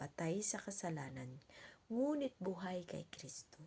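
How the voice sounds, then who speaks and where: A soft-spoken woman has a dark, mellow tone. Her voice is somewhat breathy. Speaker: vlogger giving Bible reflections. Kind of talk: Bible reading and casual reflection. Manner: halting.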